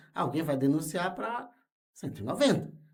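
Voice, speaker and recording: With audible room echo, a man talks in very wide pitch swings. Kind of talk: interview. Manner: halting, with many fillers.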